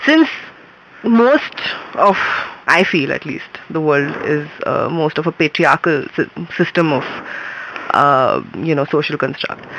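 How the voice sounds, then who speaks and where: Very wide pitch swings at a very slow pace, with long, frequent pauses and noticeable background noise. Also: woman. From India, Mumbai. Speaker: filmmaker. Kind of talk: interview. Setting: radio studio.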